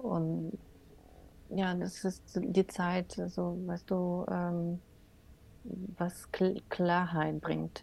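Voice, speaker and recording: A woman speaking at a very slow pace, with long, frequent pauses. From Ukraine, Odessa. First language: Russian (speaking German). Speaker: Gestalt therapist. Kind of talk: interview. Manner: halting, many fillers.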